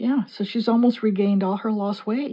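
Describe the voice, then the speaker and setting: A woman with an American accent and a medium pitch. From US Midwest, Chicago area. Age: 60s. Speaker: mixed media artist and card reader. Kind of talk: casual chat during art tutorial.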